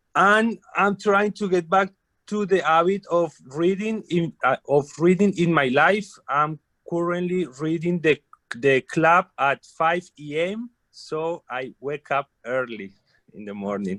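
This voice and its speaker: Speaking at a very slow pace with a Colombian accent, a man uses a high pitch and lively intonation, his tone bright and sharp, the sound dry and close with no echo. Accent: Colombian Spanish accent, non-native English. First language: Spanish. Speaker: carpenter, club guest. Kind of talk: self-introduction.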